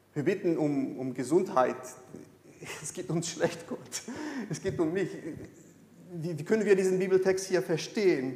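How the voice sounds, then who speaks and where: Amid noticeable background noise and audible room echo, a man with a high voice speaks at a moderate pace with ordinary pitch variation, big swings in loudness and long, frequent pauses. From Brazil. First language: Portuguese (speaking German). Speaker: pastor. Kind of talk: sermon. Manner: halting.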